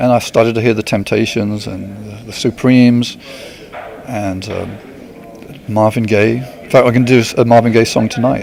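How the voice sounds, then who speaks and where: Through noticeable background noise, a man with an English accent speaks at a medium pitch and moderate pace in a monotone, flat delivery, with long, frequent pauses and big swings in loudness. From England, countryside near Luton. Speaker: smooth jazz guitarist. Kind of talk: interview. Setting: outdoor amphitheater at a concert.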